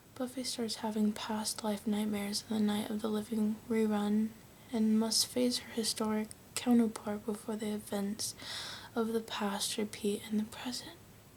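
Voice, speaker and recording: With an American accent, a soft-spoken woman talks in a somewhat breathy, fairly high voice. Her intonation is monotone and flat, and her pace is moderate. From United States. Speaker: ASMR creator. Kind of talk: reading book back cover blurbs.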